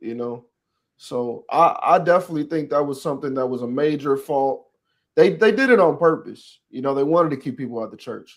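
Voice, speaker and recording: In a normal speaking voice with an American accent, the speaker goes at a fairly quick pace with ordinary pitch variation, on a very clean recording with a silent background. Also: man, fairly high pitch for a man. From Texas. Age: 20s. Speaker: podcast host. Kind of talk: casual chat.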